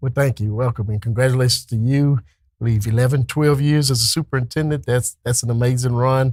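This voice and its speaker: With a Texan accent, a man at medium pitch speaks very fast and somewhat breathily with fairly even intonation, in a dry, close sound with no echo. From Texas, Dayton. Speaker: school administrator. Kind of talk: interview.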